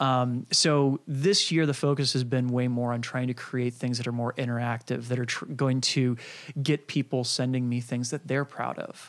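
A man's normal speaking voice at medium pitch, with fairly even intonation, on a very clean recording against a silent background. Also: moderate pace. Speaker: internet marketer and YouTuber. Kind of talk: casual interview chat.

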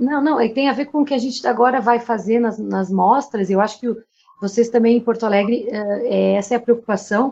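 A woman's fairly high voice with a dark, mellow tone, fairly even intonation and a moderate pace. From Brazil, Rio Grande do Sul. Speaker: podcast co-host, theatre artist. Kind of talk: casual chat.

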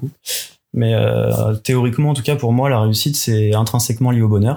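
At a moderate tempo, the speech carries a dark, mellow tone and fairly level intonation. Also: man. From Paris region, France (Yvelines). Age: 30s. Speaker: engineer, friend of the host. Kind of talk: casual interview chat. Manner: hesitant, many fillers.

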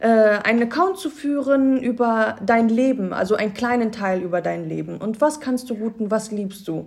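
A plain, everyday voice from a woman, fairly high in pitch, with ordinary pitch variation, a moderate pace, and hardly any pauses. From Cologne area, Germany. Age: 20s. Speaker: Instagram influencer. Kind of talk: casual interview. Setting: office studio.

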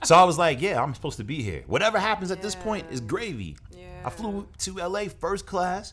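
Over music in the background, a man with a high-pitched voice speaks at a fairly quick pace with lively intonation and hardly any pauses. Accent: American. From New Jersey and Brooklyn, New York. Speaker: actor and producer. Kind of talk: interview.

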